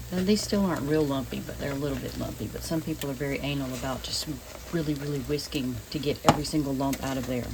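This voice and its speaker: A woman with a Southern US accent speaks at a fairly quick pace amid noticeable background noise and audible room echo. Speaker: home cooking video creator. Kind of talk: cooking tutorial. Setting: home kitchen. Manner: casual, conversational; quiet, keeping voice down.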